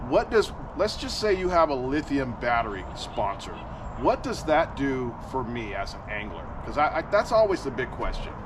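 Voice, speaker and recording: Noticeable background noise sits behind a man whose fairly high voice makes very wide pitch swings. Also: moderate pace. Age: 60s. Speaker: tournament bass angler and podcast host. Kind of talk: casual interview chat. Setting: outdoors at a lake.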